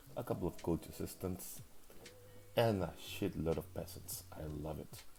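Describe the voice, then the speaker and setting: A man with a non-native accent speaks at a moderate pace in a very deep, low pitch, somewhat breathy and with ordinary pitch variation. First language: not English. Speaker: league recap commentator. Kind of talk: casual game preview commentary. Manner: hesitant, with fillers.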